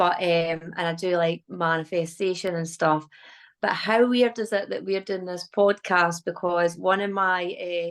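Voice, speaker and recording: A woman's fairly low voice, with a slight Fife accent and fairly even intonation. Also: fairly slow pace. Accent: slight Fife Scottish. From Scotland, West Lothian. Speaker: manifestation coach. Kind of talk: casual interview.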